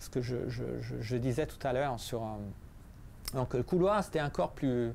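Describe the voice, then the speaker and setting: A man speaks with an Italian accent at a fairly slow pace. His pitch is medium, with ordinary variation. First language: Italian (speaking French). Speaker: physicist and author. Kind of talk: book presentation talk. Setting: library café talk with audience. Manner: halting, many repetitions and hesitations.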